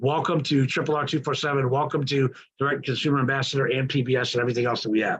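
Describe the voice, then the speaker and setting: A man talks at a very fast pace with very even loudness. His voice is somewhat breathy. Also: medium pitch for a man. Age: 60s. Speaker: business mentor. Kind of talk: testimonial speech. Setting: online group call. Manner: enthusiastic.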